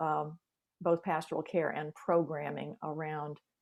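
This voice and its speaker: A woman speaks at a very deep, low pitch in a monotone, flat intonation. The sound is dry and close, with no echo. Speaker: church staff member in congregational care. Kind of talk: video call discussion. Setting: video call. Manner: hesitant, many fillers; fast.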